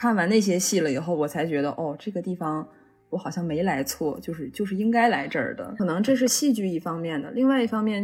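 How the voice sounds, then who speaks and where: Speaking at a fairly quick pace, a woman with a medium-pitched, somewhat breathy voice uses lively intonation. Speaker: drama student. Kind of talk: casual chat. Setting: remote call.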